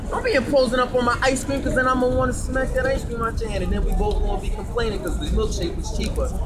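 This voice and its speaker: Over loud background noise, a man rattles along at a very fast pace with hardly any pauses. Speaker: street debater. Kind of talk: street debate. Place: street.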